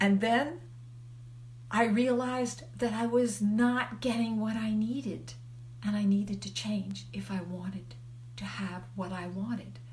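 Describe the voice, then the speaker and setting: A woman's fairly slow speech carries audible room echo, and noticeable background noise sits behind it. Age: 70s. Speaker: life coach. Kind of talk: live video talk. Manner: conversational.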